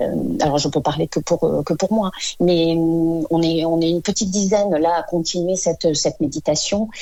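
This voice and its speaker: A woman speaks in a dark, mellow tone with a fairly low pitch. Her pace is moderate and her pitch variation ordinary. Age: 50s. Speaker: Parkinson patient. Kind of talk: testimony. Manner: halting, many hesitations.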